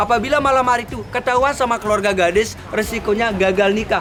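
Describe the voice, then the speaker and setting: A man with a high voice talks at a very fast pace amid crowd noise and audible room echo. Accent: Lombok. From Lombok, Indonesia (Sasak). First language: Sasak (speaking Indonesian). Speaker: local village tour guide. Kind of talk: guided tour explanation. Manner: casual, halting with fillers.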